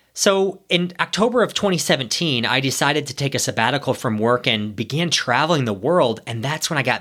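A man with an American accent speaks at a moderate pace in a bright, sharp tone with very wide pitch swings, on a very clean recording with a silent background. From US Midwest, Ohio. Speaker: podcast host, former corporate executive. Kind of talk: solo podcast monologue.

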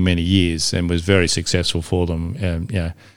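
A man with an Australian accent speaks in a very deep, low pitch with monotone, flat intonation. The recording is very clean, with a silent background. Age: 60s. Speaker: classic car enthusiast. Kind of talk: casual chat.

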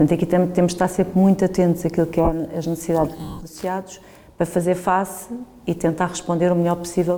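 Over noticeable background noise, a woman talks very fast with a fairly low pitch. Her intonation is flat and monotone. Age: 50s. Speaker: business executive. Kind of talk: interview.

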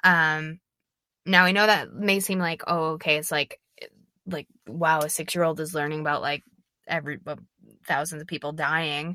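A woman with an American accent, very deep and low-pitched, with a bright, sharp tone, fairly even intonation and long, frequent pauses, on a very clean recording with a silent background and a dry, close sound with no echo. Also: moderate pace. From Minnesota. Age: 20s. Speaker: podcast host, actress. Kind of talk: casual solo monologue. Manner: halting, many fillers.

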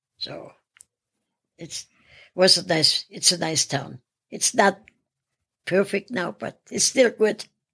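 Pausing long and often, a woman speaks very slowly at a medium pitch, with big swings in loudness. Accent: German. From Austria. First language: German. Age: 80s+. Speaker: retired gym-goer. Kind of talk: casual interview.

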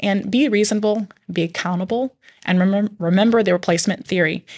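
The speaker has a plain, everyday voice and ordinary pitch variation at a fairly quick pace. The background is quiet. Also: woman. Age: 40s. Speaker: podcast host, mom. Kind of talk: casual chat.

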